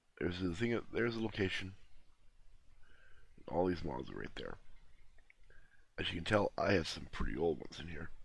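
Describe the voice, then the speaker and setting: With vocal fry and a very deep, low pitch, a man speaks at a fairly quick pace, using ordinary pitch variation, big swings in loudness and long, frequent pauses. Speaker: gaming tutorial youtuber. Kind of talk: tutorial. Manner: casual.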